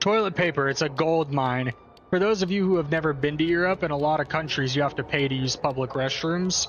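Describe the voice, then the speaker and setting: The speech has an American accent, with noticeable noise in the background. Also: man. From Michigan Upper Peninsula, US. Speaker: gaming streamer. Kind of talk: let's play commentary. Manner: animated.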